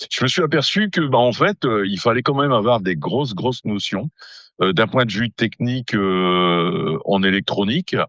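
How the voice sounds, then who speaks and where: A man speaks at a medium pitch and a fairly slow pace, with very wide pitch swings. The sound is dry and close with no echo, over a quiet background. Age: 60s. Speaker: amateur radio operator. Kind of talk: casual interview. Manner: hesitant, many fillers.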